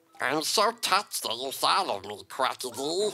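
In a put-on character voice of middle pitch, the speaker moves at a moderate pace while the pitch swings very widely. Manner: cute, sweet.

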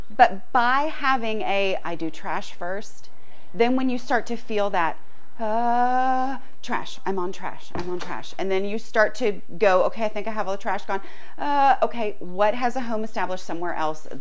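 Lively intonation marks this woman's speech. She keeps a moderate pace. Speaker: decluttering coach. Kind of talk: tutorial. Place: garage. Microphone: lapel.

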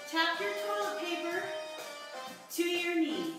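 Clear music plays behind a woman who speaks at a fairly slow pace in a room with strong echo. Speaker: fitness instructor. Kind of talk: tutorial. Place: home room. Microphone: camera far.

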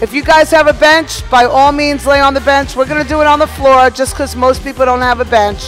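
Faint music plays behind a woman who talks fairly quickly in a high pitch, her intonation fairly even. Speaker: fitness instructor. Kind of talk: tutorial. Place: gym.

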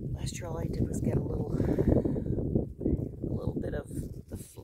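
The speech goes at a fairly slow pace with a dry sound with no echo, under loud background noise. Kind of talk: casual vlog chat. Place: garden.

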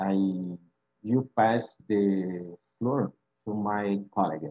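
Against a quiet background, a man with a Brazilian Portuguese accent speaks with a dark, mellow tone and fairly even intonation. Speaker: PhD student presenting research. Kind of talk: conference presentation. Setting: video call. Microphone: webcam.

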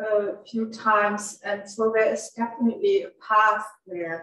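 In a room with audible echo, a woman speaks very slowly in a fairly high, monotone voice with flat intonation. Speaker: museum event organizer; audience member. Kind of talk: formal introduction. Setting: gallery with live audience and Zoom. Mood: warm, appreciative. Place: office.

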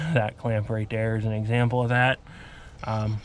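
A man at a moderate pace with monotone, flat intonation, dry sound with no echo and light background noise. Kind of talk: casual vlog chat. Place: street. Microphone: phone near.

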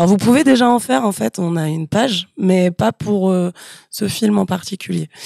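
A woman with a dark, mellow tone and lively intonation speaks at a moderate pace, her sound dry with no echo against a quiet background. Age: 30s. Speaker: communications staff member; guest. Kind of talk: casual chat. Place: office. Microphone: studio mic.

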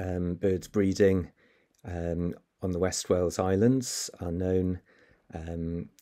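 A man speaks with a very deep, low pitch and a dark, mellow tone. The background is quiet. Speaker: presenter. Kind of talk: lecture. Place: home room. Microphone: webcam.

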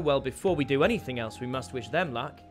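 A man talks at a medium pitch with lively intonation and a moderate pace. Faint music plays in the background. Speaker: voice actor, live streamer. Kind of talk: casual live stream chat with viewers. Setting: live stream, gaming. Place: home room. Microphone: headset.

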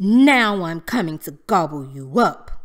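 A woman's bellowing put-on character voice, fairly low in pitch and at a fairly slow pace. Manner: roaring, menacing.

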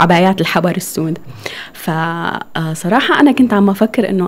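Ordinary pitch variation from a woman at a moderate pace, her pitch medium. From northern Syria (Deir ez-Zor and Raqqa); northern Syria. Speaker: architect and clothing business owner; guest. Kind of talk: interview. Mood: warm, smiling. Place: studio. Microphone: studio mic.

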